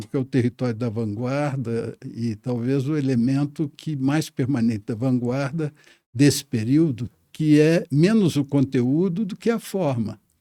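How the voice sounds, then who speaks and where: Heard in a dry, close sound with no echo, a man speaks at medium pitch with ordinary pitch variation and a dark, mellow tone. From Minas Gerais, Brazil. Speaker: poet and diplomat. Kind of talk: interview answer. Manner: hesitant, thoughtful.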